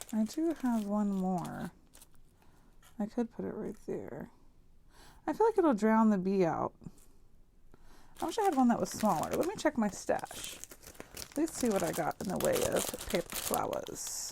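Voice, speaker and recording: Soft-spoken delivery with long, frequent pauses and noticeable background noise. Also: woman. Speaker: crafting YouTuber. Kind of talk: crafting tutorial. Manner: casual thinking aloud.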